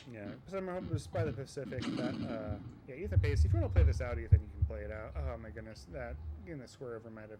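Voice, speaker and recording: A man with an American accent talks at a very fast pace and a fairly low pitch. His pitch swings very widely, and there is noticeable background noise. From US, Virginia Beach. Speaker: Tetris commentator and streamer. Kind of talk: live commentary. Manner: casual, rambling with fillers.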